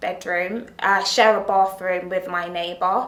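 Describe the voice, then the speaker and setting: Noticeable background noise surrounds the clip. A woman speaks at a fairly slow pace. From Denmark. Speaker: resident. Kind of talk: resident interview.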